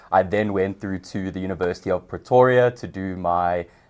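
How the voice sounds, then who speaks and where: Against a quiet background, a man speaks with a very deep, low pitch. His pace is moderate and his pitch variation ordinary. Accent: South African. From South Africa, Johannesburg. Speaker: customer success manager. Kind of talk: podcast interview.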